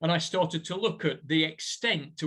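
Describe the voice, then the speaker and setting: Speaking with a northern English accent, a man uses a fairly high pitch and ordinary pitch variation at a moderate pace. The recording is very clean, with a silent background. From northern England, Burnley, Lancashire. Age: 60s. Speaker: professor. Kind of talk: lecture.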